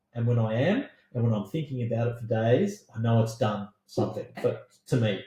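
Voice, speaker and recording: Fairly quick, somewhat breathy speech with a dark, mellow tone in an Australian accent. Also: man, medium pitch for a man, ordinary pitch variation. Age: 50s. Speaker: podcast co-host with science background. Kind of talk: casual chat.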